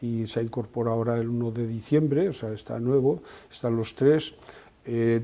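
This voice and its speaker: Speaking at a moderate pace, a man with a dark, mellow tone keeps a medium pitch and fairly even intonation. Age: 70s. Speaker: company president. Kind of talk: interview. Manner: halting.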